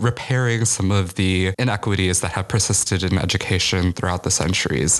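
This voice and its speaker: Very deep and low, a man's voice carries an American accent. He moves at a fairly quick pace with ordinary pitch variation. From US Midwest, Chicago. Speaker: college student activist. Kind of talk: interview.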